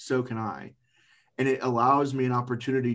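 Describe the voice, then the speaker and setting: In a very clean recording with a silent background, a man talks at a moderate pace. His is an unremarkable speaking voice of medium pitch with fairly even intonation. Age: 40s. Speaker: recovering addict and cancer survivor, former railroad engineer. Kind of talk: testimony.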